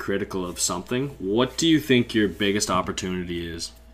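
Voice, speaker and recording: A man with a Canadian accent talks at a very fast pace, his fairly low pitch carried by lively intonation. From Canada. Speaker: podcast host. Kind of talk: podcast interview.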